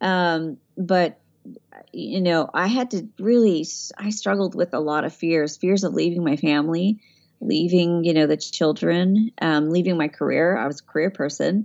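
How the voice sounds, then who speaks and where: The speaker has a slight Southern US accent. Pitch varies in an ordinary way. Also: woman, fairly low pitch for a woman, moderate pace. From Tennessee. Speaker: voiceover artist. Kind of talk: casual interview chat.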